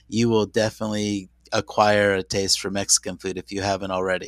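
Delivered at a fairly quick pace with an American accent, the speech stays monotone and flat in a dry, close sound with no echo. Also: man. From San Diego, US West Coast. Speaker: university international programs representative. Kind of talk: interview.

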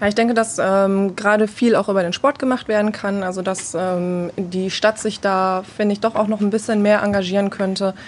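With an unremarkable speaking voice, a woman at medium pitch talks with hardly any pauses and fairly even intonation against a quiet background. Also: moderate pace. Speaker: women's football player. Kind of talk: group interview.

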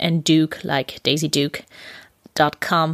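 A woman with a German accent speaks at a very slow pace and a very deep, low pitch. The sound is dry and close, with no echo. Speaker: podcast host, intuitive eating coach. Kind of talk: casual interview. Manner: giggly, frequent laughter.

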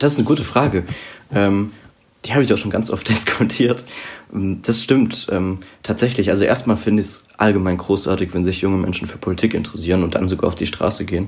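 Speaking fairly quickly, a man uses an ordinary speaking voice with a fairly low pitch and ordinary pitch variation. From southern Palatinate, Germany. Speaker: political author and student. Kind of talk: podcast interview.

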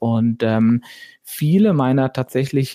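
The man's medium-pitched voice has a dark, mellow tone and ordinary pitch variation, in a very clean recording with a silent background and a dry, close sound with no echo. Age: 40s. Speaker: entrepreneur. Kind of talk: interview.

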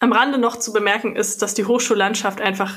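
This woman speaks in a fairly high pitch with monotone, flat intonation. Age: 20s. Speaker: politician. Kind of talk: interview answers.

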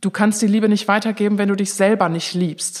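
This woman speaks at a medium pitch with a monotone, flat intonation. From Bonn, Germany. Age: 30s. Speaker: event manager working for the church. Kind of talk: interview. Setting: studio.

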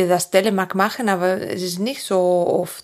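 A woman's fairly slow, monotone, flat delivery in a Spanish accent. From Asturias, northern Spain. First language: Spanish (speaking German). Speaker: physiotherapist. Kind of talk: interview. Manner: halting.

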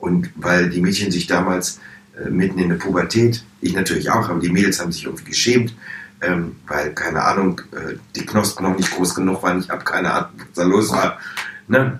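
A man's very deep, low voice, fairly quick, with ordinary pitch variation and noticeable background noise. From Hannover, northern Germany. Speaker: drag performer. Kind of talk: interview.

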